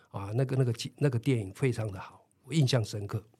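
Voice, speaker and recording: A man's somewhat breathy, medium-pitched voice with ordinary pitch variation, on a very clean recording with a silent background. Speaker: retired PE teacher. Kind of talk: interview. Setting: studio.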